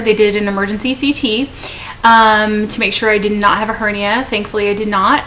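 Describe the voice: The tone is bright and sharp, with little pitch movement. The pace is moderate, with faint background noise. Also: woman.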